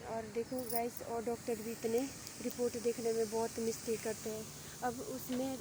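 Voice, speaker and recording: A soft-spoken woman with a fairly high pitch talks in a flat, monotone way. Noticeable noise runs in the background. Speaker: vlogger. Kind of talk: casual vlog talk.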